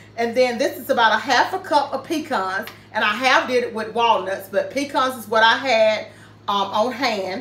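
A woman speaks at a moderate pace with ordinary pitch variation, and audible room echo surrounds her voice. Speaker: home cooking vlogger. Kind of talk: casual cooking tutorial. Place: kitchen. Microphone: camera far.

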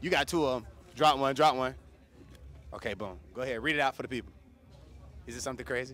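A man talks very fast in an animated tone, with vocal fry and ordinary pitch variation, yet leaves long, frequent pauses. The sound is dry, with no echo. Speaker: radio host. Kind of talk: casual interview. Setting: live event. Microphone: handheld.

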